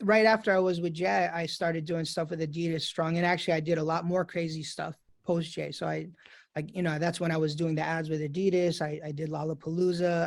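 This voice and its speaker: Speaking with a New York accent at a fairly quick pace, a man uses a high pitch and fairly even intonation on a very clean recording with a silent background. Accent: New York American. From New York City, US. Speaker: DJ. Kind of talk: casual interview chat.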